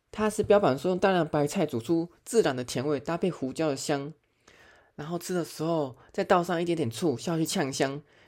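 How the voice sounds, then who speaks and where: A man with a Taiwanese accent and a fairly high pitch at a moderate pace, on a very clean recording with a silent background. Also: ordinary pitch variation. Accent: Taiwanese Mandarin. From Taiwan, Chiayi. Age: middle-aged. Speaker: podcast host. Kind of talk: casual monologue.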